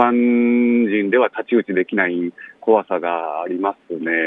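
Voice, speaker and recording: Ordinary pitch variation from a man with a fairly low voice. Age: 30s. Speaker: son of a death-row inmate, author. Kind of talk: interview. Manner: halting, many fillers.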